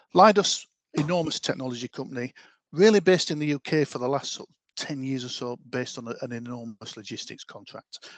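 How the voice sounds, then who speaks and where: A man with a Yorkshire accent at medium pitch, lively intonation, a fairly quick pace, and a dry, close sound with no echo. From Yorkshire, northern England. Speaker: talent development lead. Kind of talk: online presentation.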